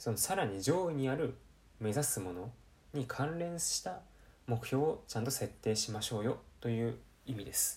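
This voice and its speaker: With lively intonation and a somewhat breathy quality, a man at medium pitch talks at a moderate pace, leaving long, frequent pauses. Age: 20s. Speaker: podcast host. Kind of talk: solo self-improvement talk. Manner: casual, many fillers.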